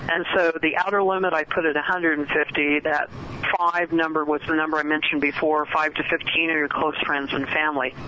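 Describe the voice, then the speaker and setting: A woman speaks at a moderate pace in a very deep, low voice with monotone, flat intonation, and noticeable background noise can be heard. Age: 60s. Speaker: author and networking expert. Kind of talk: radio interview. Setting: phone call.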